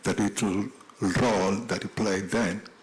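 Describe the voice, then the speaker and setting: Noticeable background noise behind a man with a fairly low voice at a moderate pace. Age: 60s. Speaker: tribute speaker, former political prisoner. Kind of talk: tribute speech.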